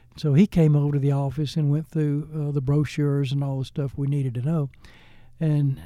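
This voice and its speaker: On a very clean recording with a silent background, a man with an American accent speaks at a moderate pace in a dark, mellow tone with a fairly high pitch. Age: 80s+. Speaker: foundation president, retired businessman. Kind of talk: interview storytelling. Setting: studio. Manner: animated.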